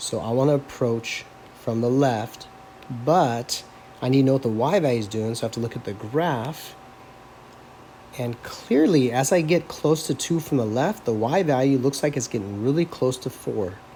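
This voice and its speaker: A man's unremarkable speaking voice at a moderate pace, medium pitch and ordinary pitch variation. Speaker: math teacher. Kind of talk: lecture. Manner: casual.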